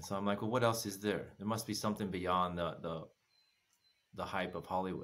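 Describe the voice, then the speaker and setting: Here is a man with an American accent and a fairly low pitch. He talks at a fairly quick pace with fairly even intonation. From United States. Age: 50s. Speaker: former massage therapist, travel guest. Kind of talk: casual chat. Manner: laughs often. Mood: calm, reflective storytelling. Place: home room. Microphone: earbuds.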